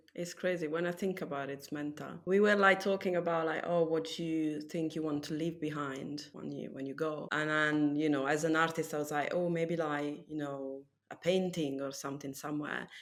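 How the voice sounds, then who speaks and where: In an Italian accent, a woman with a very deep, low pitch speaks at a moderate pace, with fairly even intonation and hardly any pauses. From Italy. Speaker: tattoo artist. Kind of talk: casual chat.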